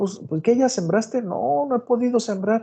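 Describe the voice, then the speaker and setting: The voice has a dark, mellow tone, sounds somewhat breathy, and moves at a fairly quick pace. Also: man. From Mexico, Guanajuato. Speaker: agronomy professor. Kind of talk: online lecture.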